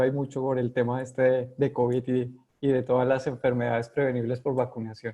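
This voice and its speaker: A man with a Colombian accent talks at a moderate pace and a medium pitch. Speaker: epidemiologist. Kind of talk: interview. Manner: hesitant, many fillers.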